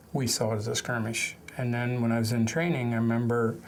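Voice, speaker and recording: A man with an American accent and a medium pitch, in audible room echo. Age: 60s. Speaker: war veteran. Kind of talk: testimony. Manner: halting.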